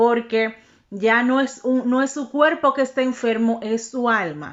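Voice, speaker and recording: With a high pitch and an animated tone, a woman speaks at a fairly slow pace with ordinary pitch variation. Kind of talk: religious teaching monologue.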